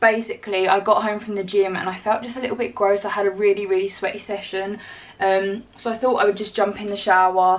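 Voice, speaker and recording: A woman speaks at a fairly quick pace in a monotone, flat intonation. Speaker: fitness vlogger. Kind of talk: casual vlog chat. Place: home room. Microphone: phone near.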